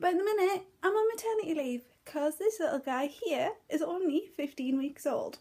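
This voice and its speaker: A woman with a northeast English accent, a dark, mellow tone, very wide pitch swings and a moderate pace. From northeast England. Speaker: crafts vlogger. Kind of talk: casual vlog chat. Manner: hesitant, filler words.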